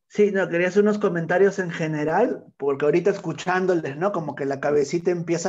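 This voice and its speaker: A man speaks with a high pitch and ordinary pitch variation. The background is quiet. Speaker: workshop facilitator. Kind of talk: online workshop. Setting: video call. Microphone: earbuds.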